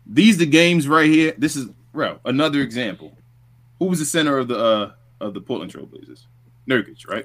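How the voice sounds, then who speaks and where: In a New York accent, a man talks at a fairly high pitch and a fairly quick pace. His intonation is lively, broken by long, frequent pauses. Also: big swings in loudness. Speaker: sports podcast co-host. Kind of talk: casual sports recap chat.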